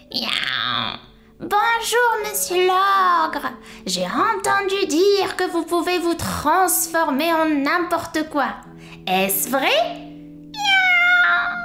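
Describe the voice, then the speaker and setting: A put-on character voice at an extremely high pitch, delivered at a very slow pace with long, frequent pauses. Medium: read story. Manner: punctuates speech with meows.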